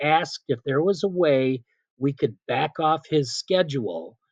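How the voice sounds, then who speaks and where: At a fairly slow pace, a man talks in a normal speaking voice with ordinary pitch variation, recorded dry and close with no echo. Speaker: PA announcer. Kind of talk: interview answer.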